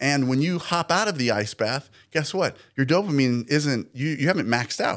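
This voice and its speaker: A man with a normal speaking voice and medium pitch, lively in intonation and fairly slow in pace, on a very clean recording with a silent background. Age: 40s. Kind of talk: podcast interview.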